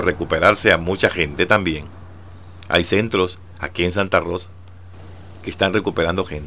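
The speaker is a man with ordinary pitch variation. He goes at a moderate pace. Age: old. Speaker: devotional radio host. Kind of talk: devotional reflection.

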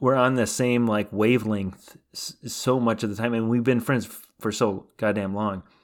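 In an unremarkable speaking voice, a man talks at medium pitch and a moderate pace with fairly even intonation, hardly any pauses and big swings in loudness, on a very clean recording with a silent background. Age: 30s. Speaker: podcast co-host. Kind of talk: casual chat.

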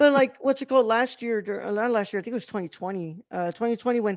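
Loud and at a very fast pace, a man speaks in a high pitch on a very clean recording with a silent background. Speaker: podcast host. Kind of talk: casual chat, movie review.

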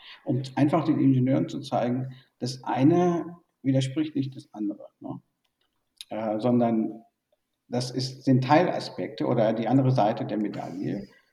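A man speaks in a medium-pitched, somewhat breathy voice with ordinary pitch variation. His loudness swings widely, and he leaves long, frequent pauses. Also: moderate pace. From born in Burma, raised in Germany. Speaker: tech industry executive. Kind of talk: interview. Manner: hesitant with many fillers.

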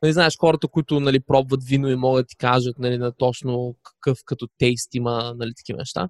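In a dry, close sound with no echo, a man with an unremarkable speaking voice talks at a fairly quick pace and medium pitch, hardly pausing, with ordinary pitch variation and big swings in loudness. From Bulgaria, Varna. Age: 20s. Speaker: digital nomad, podcaster. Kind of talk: casual interview.

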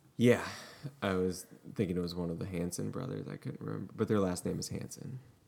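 Very deep and low, a man's voice has vocal fry and a dark, mellow tone as he talks at a very fast pace. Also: lively intonation. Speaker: podcast host. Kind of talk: casual chat.

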